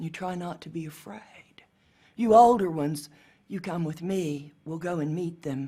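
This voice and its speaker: A somewhat breathy woman's voice, fairly low in pitch, dark and mellow in tone, with ordinary pitch variation and a moderate pace. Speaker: storyteller. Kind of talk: storytelling performance.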